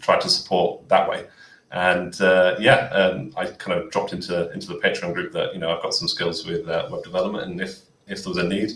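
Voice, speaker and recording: With a British accent, a man talks at a very fast pace. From United Kingdom. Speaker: volunteer web developer. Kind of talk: tutorial; casual chat. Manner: halting.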